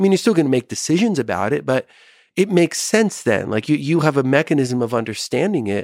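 Recorded very cleanly with a silent background and a dry, close sound with no echo, a man with a plain, everyday voice speaks at a fairly quick pace with lively intonation. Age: 50s. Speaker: psychiatrist. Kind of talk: casual chat.

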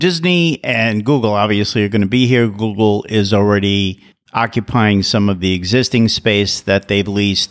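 Heard on a very clean recording with a silent background, a man with a normal speaking voice talks at a moderate pace with ordinary pitch variation. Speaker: podcast host. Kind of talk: interview, scripted intro. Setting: recording in an office.

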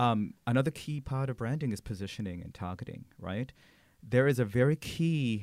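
With lively intonation, a man delivers his words at a moderate pace in a plain, everyday voice. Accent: American. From Philippines, then Sydney, Australia, then Santa Barbara, California. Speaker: corporate brand director. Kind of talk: interview.

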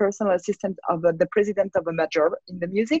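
A woman talks at a fast pace at medium pitch, her tone slightly mellow with a slightly husky edge. The sound is dry and close, with no echo.

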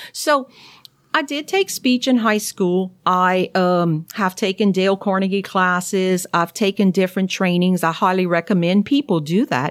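In a strong Cajun accent, a woman of medium pitch talks at a moderate pace with ordinary pitch variation, on a very clean recording with a silent background and a dry, close sound with no echo. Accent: thick Cajun. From Louisiana, Cajun. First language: French. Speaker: naturopathic doctor. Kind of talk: interview.

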